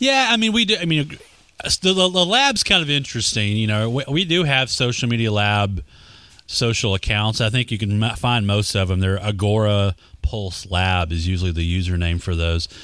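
Here a man speaks with a fairly low pitch and lively intonation. His pace is moderate and his loudness very even. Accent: Texas. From Texas. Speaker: social media marketing expert. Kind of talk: casual interview chat.

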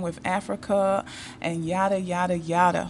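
A woman with an American accent talks in an ordinary speaking voice at a medium pitch and a moderate pace. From United States. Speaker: YouTube dating advice creator. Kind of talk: monologue, personal stories.

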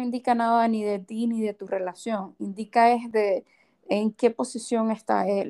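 In a very clean recording with a silent background and a dry, close sound with no echo, a woman speaks at a moderate pace with a fairly high pitch and monotone, flat intonation. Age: 30s. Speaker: podcast co-host. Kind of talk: casual chat.

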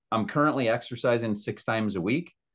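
Medium in pitch with ordinary variation, this man has an unremarkable speaking voice. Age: 40s. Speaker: podcast co-host, business executive. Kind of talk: casual chat.

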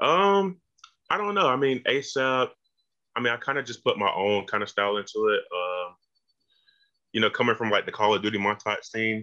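Speaking at a fairly quick pace with a Georgia accent, a man uses lively intonation broken by long, frequent pauses. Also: medium pitch for a man. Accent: US Southern (Georgia). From rural Georgia near Macon, US South. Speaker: music video director. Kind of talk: casual interview.

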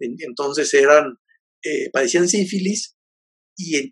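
Here is a man speaking. His pitch variation is ordinary. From Mexico, Jalisco. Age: 50s. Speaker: poet and novelist. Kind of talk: interview. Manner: halting, many fillers and repetitions.

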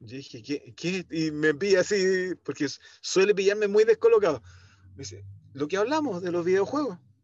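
With a high pitch and lively intonation, a man speaks at a moderate pace, his loudness swinging widely between long, frequent pauses. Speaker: event producer. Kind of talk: casual interview. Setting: podcast recording.

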